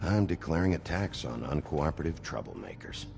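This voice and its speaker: A man does a put-on character voice with a very deep, low pitch. He moves at a fairly quick pace over clear background noise. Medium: video game. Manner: blunt, terse.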